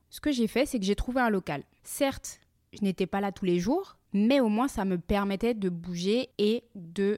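Over a very clean recording with a silent background and a dry, close sound with no echo, a woman speaks at medium pitch in a dark, mellow tone, moving at a fairly slow pace with ordinary pitch variation. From France. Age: 30s. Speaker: podcaster and entrepreneur. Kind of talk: personal monologue podcast.

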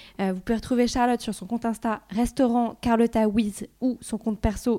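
In a very clean recording with a silent background, a woman with a dark, mellow tone and a fairly high pitch speaks at a moderate pace with hardly any pauses and fairly even intonation. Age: 20s. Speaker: podcast host and startup cofounder. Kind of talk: casual interview chat. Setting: in a restaurant in Marseille.

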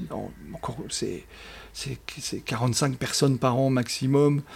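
A man speaks very slowly in a fairly high pitch. His intonation stays fairly even. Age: 60s. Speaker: business school professor and coach trainer. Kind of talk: interview. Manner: hesitant with many fillers.

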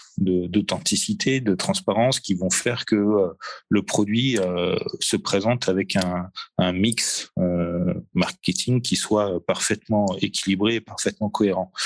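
Speaking at a fairly slow pace, a man with a fairly low pitch keeps fairly even intonation and very even loudness. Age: 40s. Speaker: marketing manager at a spirits distributor. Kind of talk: interview. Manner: halting, many fillers and repetitions.

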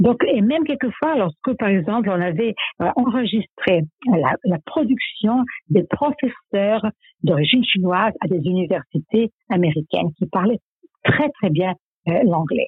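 A woman at medium pitch with very wide pitch swings and a fairly slow pace. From former Yugoslavia. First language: Serbo-Croatian (speaking French). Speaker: psycholinguist. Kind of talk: interview.

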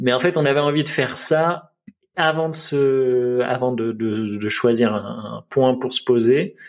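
A man with a medium pitch talks at a very slow pace, using ordinary pitch variation. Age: 30s. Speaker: web designer and father. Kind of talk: podcast interview. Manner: halting.

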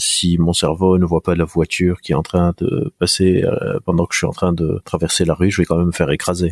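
In a dry, close sound with no echo, a man speaks at a very deep, low pitch with monotone, flat intonation. He moves at a fairly quick pace with very even loudness and hardly any pauses. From Lebanon. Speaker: neuroscientist and psychologist. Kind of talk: interview. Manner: hesitant, with many fillers.

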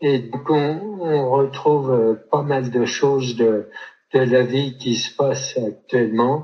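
Somewhat breathy, a man speaks very slowly at a medium pitch with ordinary pitch variation. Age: 70s. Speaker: photographer, retired insurance employee and author. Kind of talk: interview testimony. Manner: halting, many repetitions.

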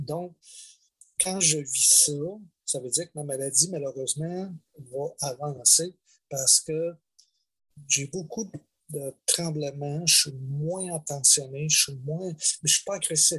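Speaking very slowly with long, frequent pauses, a man with a Quebec accent has a fairly high pitch, a bright, sharp tone and fairly even intonation. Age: 60s. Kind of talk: testimony. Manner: halting.

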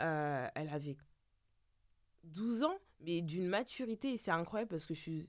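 Over a silent background on a very clean recording, a woman with a fairly low pitch speaks fairly slowly with lively intonation and long, frequent pauses. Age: 30s. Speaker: hairdresser. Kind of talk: casual chat. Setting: studio.

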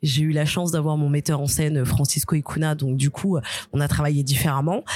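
A woman's very deep, low-pitched voice with a dark, mellow tone. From Algerian and Guadeloupean heritage, France. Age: 30s. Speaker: stand-up comedian. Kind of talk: casual chat. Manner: animated.

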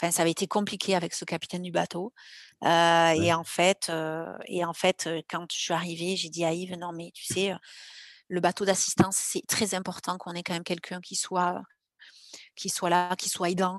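Against a quiet background, a woman with a fairly low pitch speaks in a monotone, flat intonation while her loudness swings widely. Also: moderate pace, dry, close sound with no echo. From southwestern France, Landes. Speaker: lifeguard athlete and ocean rower. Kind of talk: interview testimony. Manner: halting.

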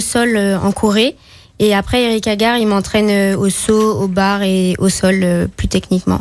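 Talking at a fairly slow pace, a woman holds a medium pitch and fairly even intonation. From Martinique. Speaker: gymnast. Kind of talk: radio interview. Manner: hesitant.

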